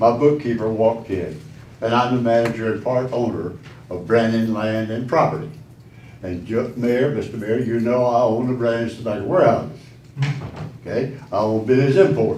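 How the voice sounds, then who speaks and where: With a Southern US accent, the speaker goes at a moderate pace with ordinary pitch variation, and the room echo is audible. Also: man, medium pitch for a man. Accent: Southern US (Georgia). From Statesboro, Georgia. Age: 80s+. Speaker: business owner, public commenter. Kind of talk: public comment at council meeting. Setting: city council meeting.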